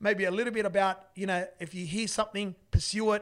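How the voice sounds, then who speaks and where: In a very clean recording with a silent background, a man with an Australian accent and a high pitch speaks at a very fast pace in an animated tone, with ordinary pitch variation. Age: 40s. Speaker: business owner. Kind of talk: casual monologue podcast. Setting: studio.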